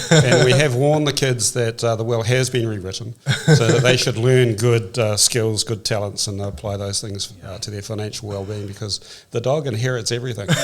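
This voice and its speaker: Speaking fairly quickly with a New Zealand accent, a man has a medium pitch and ordinary pitch variation. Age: 60s. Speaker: real estate executive. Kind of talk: podcast interview. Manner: calm.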